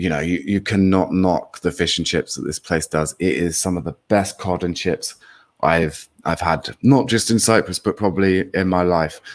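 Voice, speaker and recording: A man with an English accent speaks in a very deep, low voice with ordinary pitch variation. The sound is dry and close, with no echo. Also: moderate pace. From England. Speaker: political commentary co-host. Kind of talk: live stream chat. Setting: live stream with chat.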